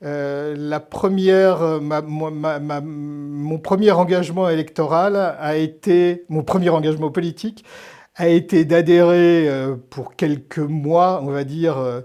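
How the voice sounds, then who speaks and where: The background is quiet as a man speaks very slowly. His voice is fairly high, with a dark, mellow tone and fairly even intonation. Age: 60s. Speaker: historian and novelist. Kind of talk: interview. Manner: hesitant, many fillers and repetitions.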